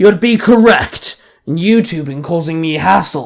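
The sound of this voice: A growling, put-on character voice at a middle pitch and a fairly slow pace.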